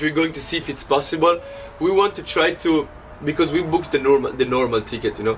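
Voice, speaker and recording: A man with an Italian accent speaks at a very fast pace in a fairly high voice. His pitch varies in an ordinary way, and there is noticeable background noise. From Italy. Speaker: DJ and podcast host. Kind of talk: casual chat. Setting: traveling to the beach. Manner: animated.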